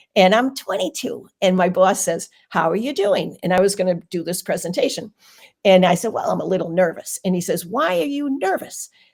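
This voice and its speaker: In a very clean recording with a silent background, a woman with a Boston accent speaks at medium pitch with lively intonation. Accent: Boston accent, kept deliberately. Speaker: occupational therapist, Reiki teacher and speaker. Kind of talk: podcast interview.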